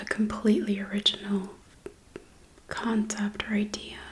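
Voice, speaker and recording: A soft-spoken woman with a fairly high voice, heard over noticeable background noise. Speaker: ASMR creator. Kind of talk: ASMR mukbang rambling movie review.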